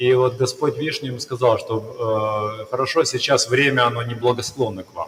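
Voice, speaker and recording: Delivery runs at a fairly quick pace with hardly any pauses and fairly even intonation. Loudness swings widely, with noticeable background noise behind it. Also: man, medium pitch for a man. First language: Russian. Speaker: interpreter. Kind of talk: live interpretation. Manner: halting.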